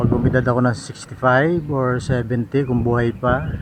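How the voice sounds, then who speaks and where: Fairly even intonation from a man at a medium pitch, with noticeable background noise behind him. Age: 60s. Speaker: vlogger doing home repairs. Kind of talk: casual vlog narration. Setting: outdoors on a rooftop. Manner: soft-spoken.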